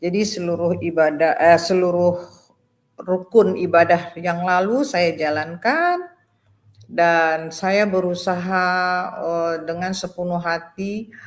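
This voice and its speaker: Very slowly, a woman speaks with a fairly low pitch and fairly even intonation. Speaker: retired doctor giving a conversion testimony. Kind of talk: testimony. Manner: halting, many fillers.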